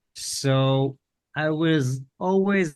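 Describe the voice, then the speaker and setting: A man speaks against a quiet background. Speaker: tech podcast co-host. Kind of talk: casual podcast discussion.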